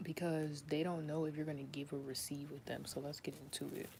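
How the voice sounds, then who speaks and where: A woman with a very deep, low pitch talks at a fairly quick pace in a flat monotone, with noticeable background noise. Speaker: tarot reader. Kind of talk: tarot reading monologue. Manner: fast; casual, many fillers.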